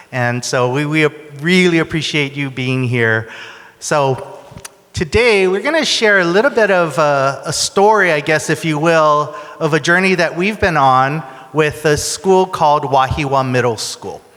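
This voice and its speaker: A man talks at a fairly slow pace with a fairly high pitch and ordinary pitch variation. Noticeable background noise is present. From Hawaii. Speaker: education consultant, keynote speaker. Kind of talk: keynote presentation.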